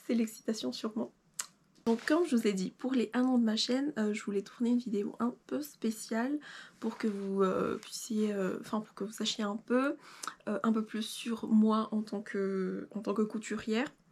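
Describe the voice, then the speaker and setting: This woman's voice is fairly high and somewhat breathy, with ordinary pitch variation. She speaks at a fairly slow pace. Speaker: sewing YouTuber. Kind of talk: casual vlog talk to camera. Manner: hesitant, many fillers.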